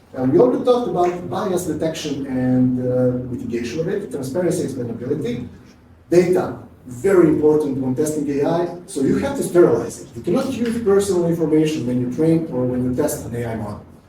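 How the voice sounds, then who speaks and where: Speaking with a Serbian accent, a man talks at a fairly high pitch and a fairly quick pace. His intonation is lively, and audible room echo surrounds the voice. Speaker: QA automation engineer, conference speaker. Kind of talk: conference talk. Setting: stage with audience. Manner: fast.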